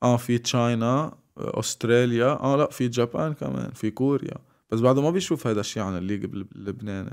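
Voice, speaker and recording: The setting is quiet as a man talks. He keeps a moderate pace, and his pitch varies in an ordinary way. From Lebanon. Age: 20s. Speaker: professional basketball player; podcast guest. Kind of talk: casual chat. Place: home room. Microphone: studio mic.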